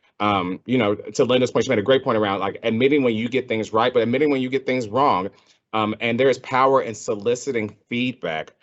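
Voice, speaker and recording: Fairly quick speech from a man at a medium pitch with ordinary pitch variation. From Texas. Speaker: healthcare consultant, panelist. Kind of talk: panel discussion. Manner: frequent fillers and restarts.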